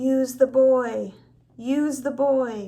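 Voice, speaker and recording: Putting on a character voice, a woman speaks at a high pitch with fairly even intonation. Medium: read story. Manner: cold, commanding.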